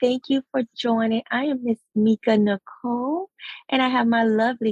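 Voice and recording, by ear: A woman speaks at a fairly slow pace with a raspy, slightly husky edge and a slightly mellow tone, in a dry, close sound with no echo.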